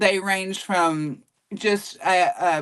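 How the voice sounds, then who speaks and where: A woman with a Southern US accent speaks in a medium pitch. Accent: Southern US twang, mild. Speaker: voice actor.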